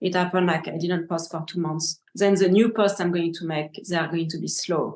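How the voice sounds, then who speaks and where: A woman talks at a fairly quick pace. Her fairly low voice stays monotone and flat. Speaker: gem cutter. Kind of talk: interview answers.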